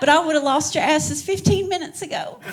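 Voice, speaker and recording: Lively intonation over noticeable background noise. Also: woman. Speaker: stand-up comedian. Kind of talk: stand-up. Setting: stage with audience. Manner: animated.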